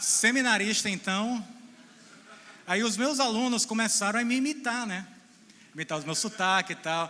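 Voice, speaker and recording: A man speaks in a raised, projected voice. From Brazil, central Ceará (Boa Viagem). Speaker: missionary and theology lecturer. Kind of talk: talk to a church audience. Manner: informal, joking.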